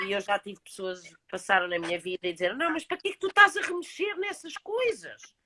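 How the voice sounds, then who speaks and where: A woman with a European Portuguese accent speaks in a raised, projected voice at a high pitch, with very wide pitch swings. The sound is dry and close, with no echo. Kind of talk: casual chat.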